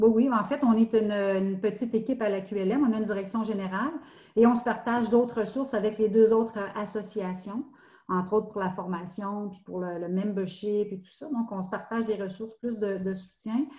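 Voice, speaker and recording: Her tone is dark and mellow, somewhat breathy, with fairly even intonation. This woman keeps a moderate pace while her loudness swings widely. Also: fairly high pitch for a woman. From Quebec, Estrie. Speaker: municipal recreation director. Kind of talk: interview. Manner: halting.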